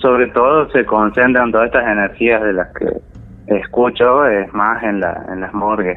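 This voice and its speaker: Here is an unremarkable speaking voice at a fairly slow pace with hardly any pauses. The intonation stays fairly even. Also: man, medium pitch for a man. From Argentina, Santiago del Estero. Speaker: story-telling caller. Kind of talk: personal testimony.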